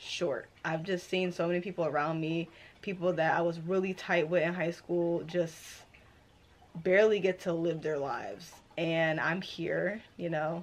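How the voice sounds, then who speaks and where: Slowish in pace, a woman speaks at a fairly low pitch with fairly even intonation. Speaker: book vlogger. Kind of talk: casual vlog chat. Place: home room.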